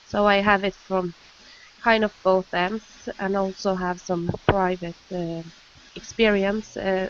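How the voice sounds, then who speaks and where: Over noticeable background noise, a woman with a Norwegian accent speaks very slowly at a medium pitch with monotone, flat intonation. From Norway. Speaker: nurse. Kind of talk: panel discussion.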